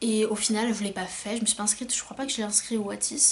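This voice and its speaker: The woman here has a fairly high-pitched voice. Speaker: self-published novelist. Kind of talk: casual vlog talk. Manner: hesitant, many fillers.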